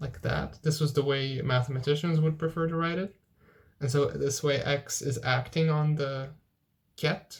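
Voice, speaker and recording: Fairly high-pitched and somewhat breathy, this man's voice keeps a fairly even intonation. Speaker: physics tutor. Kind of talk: lecture. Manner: halting.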